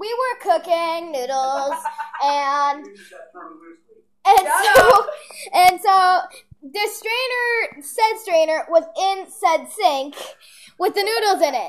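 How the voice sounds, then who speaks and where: At a very slow pace with long, frequent pauses, a woman speaks in an extremely high pitch. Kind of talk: casual vlog chat. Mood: amused, laughing storytelling. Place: kitchen. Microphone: phone near.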